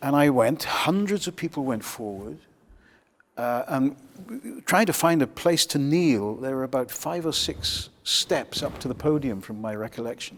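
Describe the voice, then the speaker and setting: The intonation is lively. The pace stays moderate. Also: man, fairly high pitch for a man. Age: 60s. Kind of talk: testimony. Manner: halting.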